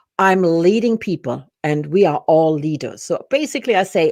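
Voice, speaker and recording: A woman with a German accent and a fairly low pitch, against a quiet background. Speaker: business and personal development coach. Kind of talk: interview. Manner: halting.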